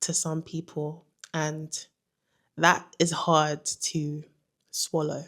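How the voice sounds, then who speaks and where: A woman speaks with a London accent in a very clean recording with a silent background. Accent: British (London). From London, England. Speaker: vlogger. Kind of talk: casual vlog monologue.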